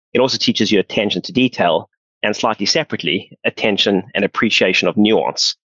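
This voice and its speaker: A man with a South African accent at a very fast pace. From South Africa, Johannesburg. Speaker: pension fund founder. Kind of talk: podcast interview.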